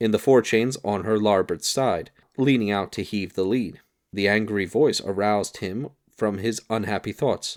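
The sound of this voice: An unforced reading voice over a quiet background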